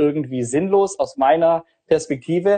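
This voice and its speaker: A man's fairly high-pitched voice with a dark, mellow tone, at a moderate pace. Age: 30s. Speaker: finance podcaster and author. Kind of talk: casual Q&A interview. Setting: Instagram live video session.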